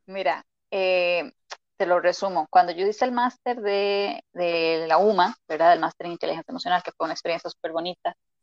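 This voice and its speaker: A woman with a Costa Rican accent speaks at a fairly quick pace and a fairly low pitch with ordinary pitch variation. The sound is dry and close, with no echo. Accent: Costa Rican, noticeable R. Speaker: emotional intelligence coach. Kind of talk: interview.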